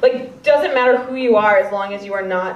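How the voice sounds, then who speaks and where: A woman speaks at a fairly quick pace with an American accent. Noticeable background noise and audible room echo surround her voice. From US Midwest, Chicago. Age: 20s. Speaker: comedian. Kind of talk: stand-up. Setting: stage with audience.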